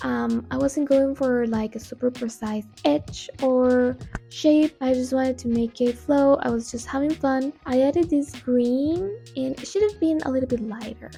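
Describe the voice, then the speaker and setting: In a Spanish accent, a woman with a high pitch and ordinary pitch variation talks at a moderate pace. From Costa Rica. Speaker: art youtuber. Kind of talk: painting tutorial voiceover, unscripted. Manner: casual, with fillers and hesitations.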